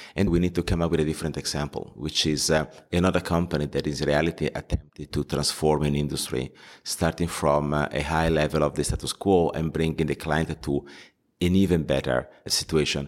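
In a very clean recording with a silent background, a man with a very deep, low pitch and vocal fry speaks at a fairly quick pace in a monotone, flat intonation. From Italy, Milan. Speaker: fintech entrepreneur. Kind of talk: interview. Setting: at a conference. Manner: halting, many fillers.

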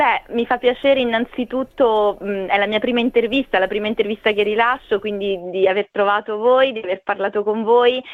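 With an ordinary speaking voice, a woman talks at a fairly quick pace and fairly high pitch, keeping a fairly even intonation and hardly any pauses. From Italy, Marche (Ascoli Piceno province). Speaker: diplomat. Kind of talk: radio interview. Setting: phone call.

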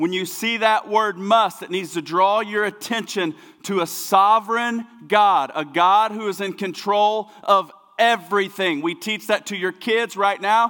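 In an American accent, a man with a high pitch uses a raised, projected voice at a fairly slow pace. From US, small town. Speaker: pastor. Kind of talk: sermon. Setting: church. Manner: animated.

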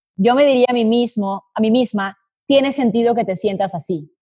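Her pitch fairly high and its variation ordinary, a woman talks in an unremarkable speaking voice. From Colombia. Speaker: business consultant. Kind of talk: interview.

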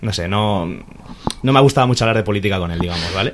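There is noticeable background noise behind this speaker. He is a man with a fairly low pitch. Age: young. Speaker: student and aspiring sports commentator. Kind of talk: casual chat. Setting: bookshop.

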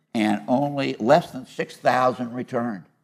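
Here is a man with an American accent. His pitch is medium with ordinary pitch variation. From Iowa. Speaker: former state legislator. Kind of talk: panel discussion. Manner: animated.

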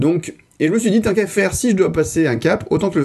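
A man rattles along at a very fast pace, his dark, mellow tone somewhat breathy and his intonation lively. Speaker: podcast host. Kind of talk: casual chat.

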